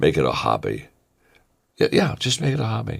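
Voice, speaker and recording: There's vocal fry as a man talks at a fairly quick pace on a very clean recording with a silent background. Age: 70s. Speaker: motivational speaker. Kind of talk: motivational talk. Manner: repetitive, stammering restarts.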